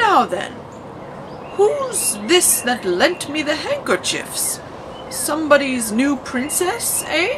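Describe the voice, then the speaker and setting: Against loud background noise, someone performs a put-on character voice at a very slow pace. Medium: read story.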